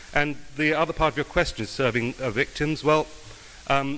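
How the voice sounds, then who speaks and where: Over noticeable background noise, a man with an English accent talks at a fairly quick pace. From England, London. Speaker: judicial candidate, prosecutor. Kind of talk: campaign speech; answering questions at a forum. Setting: club meeting with audience. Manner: halting, many fillers.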